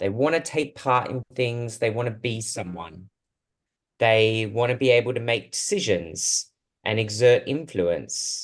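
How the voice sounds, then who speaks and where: A man with an Australian accent at a medium pitch, with ordinary pitch variation, a fairly slow pace and a quiet background. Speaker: speech therapist and researcher. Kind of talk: talk to a support group. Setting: video call. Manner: hesitant, with fillers.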